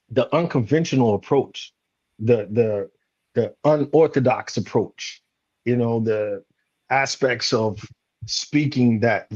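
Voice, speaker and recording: With an American accent, a man talks in an ordinary speaking voice at medium pitch and a fairly slow pace, with ordinary pitch variation. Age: 40s. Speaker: leadership coach and retired Marine. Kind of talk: panel discussion.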